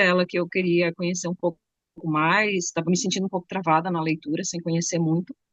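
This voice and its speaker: A woman speaks at a medium pitch. She has a southern Brazilian accent. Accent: gaúcho accent, some Bahian words. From Rio Grande do Sul, southern Brazil. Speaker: psychology professional studying Lacan. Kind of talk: casual self-introduction.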